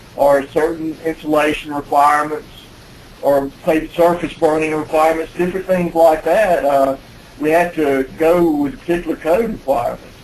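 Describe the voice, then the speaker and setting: A man's fairly high voice with fairly even intonation and very even loudness, over noticeable background noise. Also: moderate pace. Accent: Alabama. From US South, Alabama. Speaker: building code expert presenter. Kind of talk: webinar presentation. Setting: conference call. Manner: halting, many fillers.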